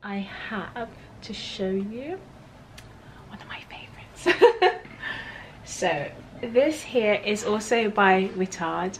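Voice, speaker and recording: With lively intonation, a woman talks over light background noise. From Berkshire, England. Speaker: lifestyle vlogger. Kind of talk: casual talk to camera. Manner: upbeat. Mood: warm, cheerful, giggly. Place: home room.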